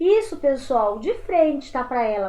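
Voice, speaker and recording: Against a quiet background, a woman speaks at a moderate pace in an animated tone with very wide pitch swings. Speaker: teacher. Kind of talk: lecture.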